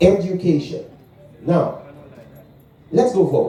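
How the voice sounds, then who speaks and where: An animated man with a high pitch and a Guyanese accent, lively in intonation, against audible room echo. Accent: Guyanese Caribbean English. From Guyana. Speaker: preacher. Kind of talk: sermon. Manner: animated call-and-response.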